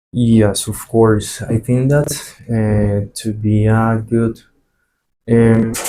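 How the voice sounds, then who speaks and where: A man speaks very slowly in a flat monotone with long, frequent pauses. His voice is dark and mellow at medium pitch. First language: Spanish. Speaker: flight attendant. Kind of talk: interview. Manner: halting, many fillers and repetitions.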